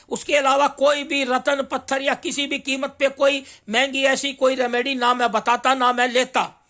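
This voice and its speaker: In a raised, projected voice, a man with an extremely high pitch speaks in a bright, sharp tone with monotone, flat intonation and hardly any pauses, on a very clean recording with a silent background. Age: 60s. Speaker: astrologer and journalist. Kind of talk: monologue. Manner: halting, with fillers.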